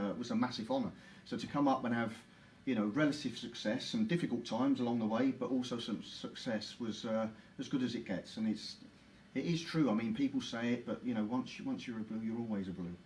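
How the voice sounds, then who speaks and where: A man's medium-pitched voice at a very fast pace, with ordinary pitch variation and audible room echo. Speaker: former footballer and club ambassador. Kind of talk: interview. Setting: live Facebook stream at football stadium.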